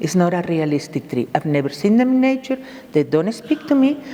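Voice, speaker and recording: With noticeable background noise behind her, a woman of medium pitch swings her pitch very widely. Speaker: bonsai artist. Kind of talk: presentation. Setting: stage with audience. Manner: animated.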